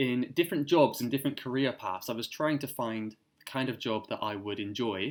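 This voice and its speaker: A man with a British accent, medium pitch and ordinary pitch variation, on a very clean recording with a silent background. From Cornwall, southwest England. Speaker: English teacher. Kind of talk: interview answer.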